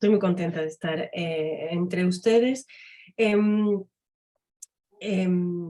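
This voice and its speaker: A woman at a medium pitch, a very slow pace with long, frequent pauses and ordinary pitch variation. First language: French (speaking Spanish). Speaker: academic and literary translator. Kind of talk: conference talk.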